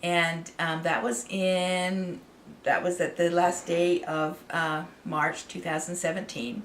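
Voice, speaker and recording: With an American accent, a woman speaks at a fairly slow pace and fairly low pitch over noticeable background noise. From Idaho, US. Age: 60s. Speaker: artist and channel owner. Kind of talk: personal story to camera. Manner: halting, many fillers.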